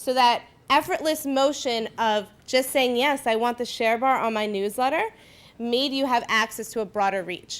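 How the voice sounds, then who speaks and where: In a very clean recording with a silent background, a woman talks at a high pitch with ordinary pitch variation. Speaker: marketing presenter. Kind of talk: workshop presentation. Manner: fast.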